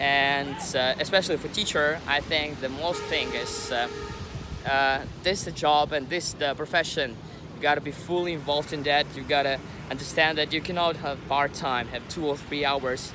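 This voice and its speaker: Moderate pace, fairly even intonation and a non-native accent against noticeable background noise. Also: man, fairly high pitch for a man. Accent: non-native English, pronunciation mistakes. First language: not English. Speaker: English teacher, vlogger. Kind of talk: vlog introduction. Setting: outdoors by the sea. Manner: halting, many fillers.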